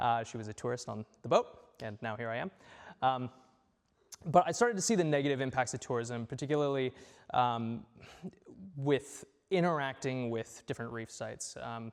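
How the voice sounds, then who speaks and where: A man with a strong American accent speaks at a moderate pace and medium pitch, with ordinary pitch variation, big swings in loudness, and long, frequent pauses. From California, US. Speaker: conservation worker and presenter. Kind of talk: community talk presentation. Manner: halting with many fillers.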